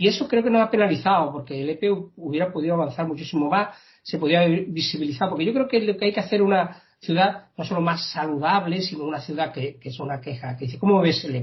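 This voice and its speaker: Here a man speaks in a high pitch. He goes very fast, with lively intonation. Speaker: local political candidate. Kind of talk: interview. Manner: hesitant, repeats words.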